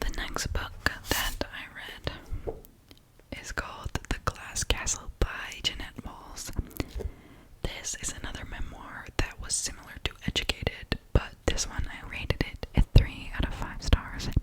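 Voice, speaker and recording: Someone whispers at a fairly slow pace. Noticeable background noise sits behind it. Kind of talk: ASMR book review talking to camera. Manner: whispered, soft-spoken.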